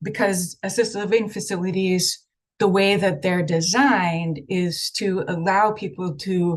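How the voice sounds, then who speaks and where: A woman is speaking at a fairly slow pace. Her voice is somewhat breathy. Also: medium pitch for a woman, ordinary pitch variation. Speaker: state health program official presenting. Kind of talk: presentation at online meeting. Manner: hesitant with many fillers.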